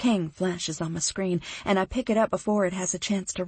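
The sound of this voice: The clip presents an unforced reading voice.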